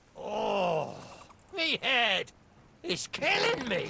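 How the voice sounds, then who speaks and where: A high pitch marks this put-on character voice. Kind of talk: video game voice acting. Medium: machinima. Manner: theatrical, wheedling pirate talk.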